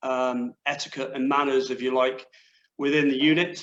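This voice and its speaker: At a fairly slow pace, a man talks in a fairly high pitch with monotone, flat intonation. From West Country, England. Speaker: former army sergeant major, leadership coach. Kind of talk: panel discussion.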